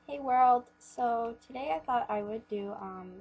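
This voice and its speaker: Noticeable noise runs in the background. Over it, a woman talks with ordinary variation in her pitch. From Canada. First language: Polish. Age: 20s. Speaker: beauty YouTuber. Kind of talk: casual vlog Q&A. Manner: hesitant, many fillers. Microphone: recording too quiet.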